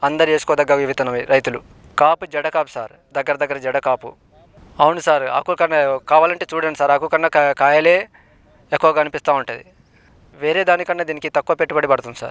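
A man uses a normal speaking voice, fairly high in pitch with fairly even intonation, in a dry, close sound with no echo. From Telangana, Bhadradri Kothagudem district. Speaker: farmer. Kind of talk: testimonial interview.

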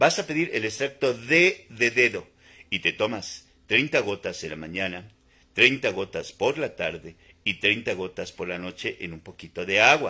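Against a quiet background, a man with vocal fry and a bright, sharp tone talks at a moderate pace, his pitch swinging very widely. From Mexico, Puebla. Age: 50s. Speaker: naturopathic doctor; naturopathic health vlogger. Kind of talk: live stream monologue. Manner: repetitive, informal. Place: home room. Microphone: phone near.

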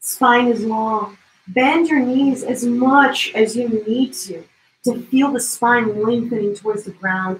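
A woman speaks at a very slow pace in a high pitch with ordinary variation. Audible room echo is present. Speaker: yoga instructor. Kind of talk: guided yoga flow, gentle spoken cueing of poses. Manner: soothing, invitational cues; playful, encouraging movement prompts. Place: home room. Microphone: camera far.

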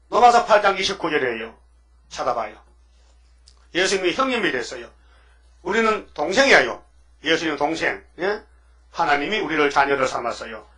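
Over a quiet background, the speech has very wide pitch swings, a moderate pace and long, frequent pauses. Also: man, high pitch for a man. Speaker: pastor. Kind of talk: sermon. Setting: church. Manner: animated. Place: church. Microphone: podium.

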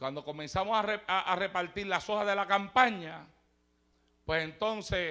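Against a quiet background, a high-pitched man projects a raised voice in an animated, bright and sharp tone. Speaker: preacher. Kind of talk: sermon.

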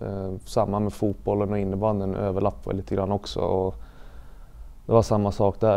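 A man's fairly low voice with monotone, flat intonation. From Sweden, Gävleborg (Sätra, Gävle); Sweden. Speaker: elite ice hockey player; interviewee. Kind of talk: interview testimony. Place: studio. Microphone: lapel.

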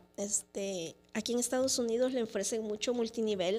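A dark, mellow tone comes through as this woman talks at a fairly high pitch. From El Salvador. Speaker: lawyer and entrepreneur; lawyer. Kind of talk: testimony. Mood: reflective, sometimes sad. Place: studio. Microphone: studio mic.

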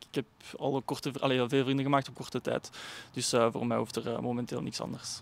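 Very fast and monotone, a man talks with flat intonation and vocal fry. The sound is dry, with no echo. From Flemish Brabant, Belgium (Kortenberg); Flemish Brabant, Belgium. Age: 20s. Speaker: amateur footballer. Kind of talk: interview. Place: stadium. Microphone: handheld.

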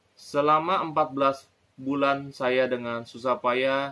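The voice belongs to a man. It sounds bright and sharp. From Indonesia. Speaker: video reviewer and preacher. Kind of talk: sermon-style reading aloud from a book, with testimony. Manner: fervent, emphatic, repeating phrases for effect; earnest, rising in intensity, exhorting the audience. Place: home room. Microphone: phone near.

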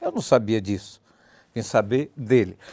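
Against a quiet background, a man speaks with a Bahian accent. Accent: Bahian Brazilian Portuguese. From Bahia, Brazil (Valença); Bahia, Brazil. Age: 60s. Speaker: political journalist. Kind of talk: TV debate. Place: studio. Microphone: lapel.

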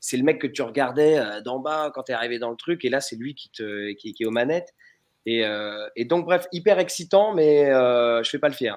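A man at medium pitch speaks at a moderate pace with ordinary pitch variation against a quiet background. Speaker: voice actor. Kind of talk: casual chat. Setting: video call. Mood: enthusiastic, anecdotal. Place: home room. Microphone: video call.

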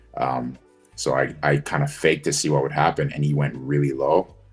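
The intonation is monotone and flat. Faint music sits in the background. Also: man. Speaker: guest. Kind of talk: interview answer. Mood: relaxed, amused. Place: home room. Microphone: video call.

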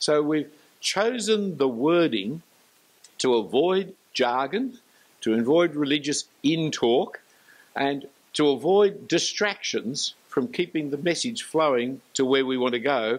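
Someone with an Australian accent speaks at a very slow pace. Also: man, fairly high pitch for a man. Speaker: preacher. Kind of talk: lecture. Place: church. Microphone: handheld.

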